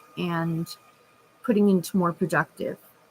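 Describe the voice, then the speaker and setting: A woman speaks with a somewhat breathy, medium-pitched voice and ordinary pitch variation. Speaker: vlogger. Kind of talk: casual vlog.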